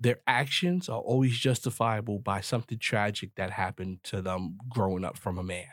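Fairly low male speech at a moderate pace and with ordinary pitch variation, captured on a very clean recording against a silent background. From US, grew up in the projects. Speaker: podcast host. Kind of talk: solo commentary monologue. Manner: animated.

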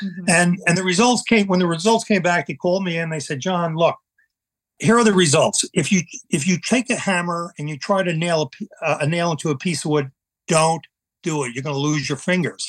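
Man with a Long Island accent, high-pitched with ordinary pitch variation, at a fairly quick pace, on a very clean recording with a silent background and a dry, close sound with no echo. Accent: Long Island New York. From US Northeast, eastern Long Island, New York. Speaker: Vietnam veteran and painter. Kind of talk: personal testimony in interview. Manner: halting, many repetitions and fillers.

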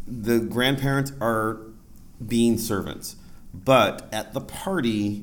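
A man with an American accent speaks at a medium pitch. There is noticeable background noise and audible room echo. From Ohio, US (Lorain). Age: 40s. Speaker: PhD student and podcast host. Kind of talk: live panel discussion. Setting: stage with audience.

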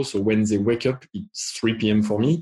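A man speaks in a French accent at a fairly low pitch, somewhat breathy, with fairly even intonation. The background is quiet. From France. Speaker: tech executive. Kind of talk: panel discussion. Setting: video call.

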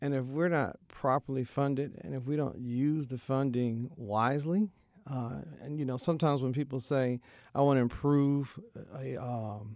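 The recording is very clean, with a silent background. A man speaks at a moderate pace in a medium pitch, with a dark, mellow tone and ordinary pitch variation. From Texas. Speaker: school principal. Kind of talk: interview.

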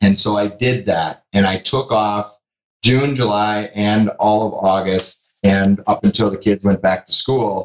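At a fairly slow pace, a man with a normal speaking voice talks at a fairly low pitch with fairly even intonation. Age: 40s. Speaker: business owner who sold his company. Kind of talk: interview.

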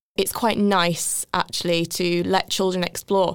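A woman speaks with an English accent. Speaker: former children's nurse. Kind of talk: casual interview.

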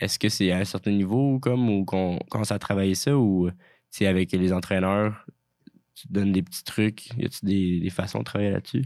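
Very clean, silent-background recording of a man's fairly low, dark, mellow voice with ordinary pitch variation. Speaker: student radio podcast host. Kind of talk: interview. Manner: halting.

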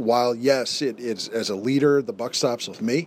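A man talks over noticeable background noise. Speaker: family leader and friend of host. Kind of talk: casual chat. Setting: treehouse with heater running.

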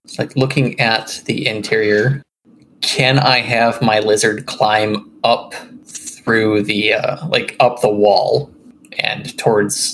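Over noticeable background noise, a man talks at a very slow pace. His medium-pitched voice keeps a fairly even intonation. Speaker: tabletop RPG player. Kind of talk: casual tabletop game chat.

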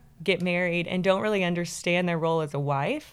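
Speaking with an American accent and an ordinary speaking voice, the talker keeps a moderate pace and fairly even intonation in a very clean recording with a silent background. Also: woman. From Texas, Kilgore. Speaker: marriage ministry leader. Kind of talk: interview conversation.

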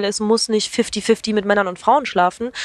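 On a very clean recording with a silent background, a woman with a plain, everyday voice speaks at medium pitch and a moderate pace, with ordinary pitch variation and a dry, close sound with no echo. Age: 20s. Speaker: YouTuber. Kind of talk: casual chat.

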